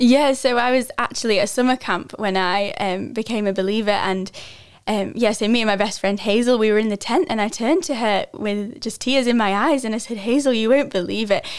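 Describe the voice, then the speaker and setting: A woman talks with a British accent at a moderate pace. Her pitch is fairly high, with ordinary pitch variation. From northwest England, near Lancaster. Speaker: Bible school student. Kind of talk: testimony.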